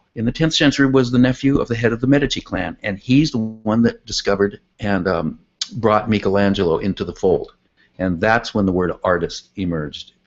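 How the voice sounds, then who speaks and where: This man has a plain, everyday voice, medium pitch, ordinary pitch variation and a fairly quick pace. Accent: American. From California. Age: 60s. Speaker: artist and tennis coach. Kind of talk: interview.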